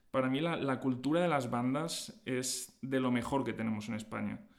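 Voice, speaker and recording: At a moderate pace and medium pitch, a man talks in a room with audible echo. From Spain, Alicante (Valencia region). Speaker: orchestral clarinetist. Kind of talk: interview. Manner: hesitant, frequent fillers.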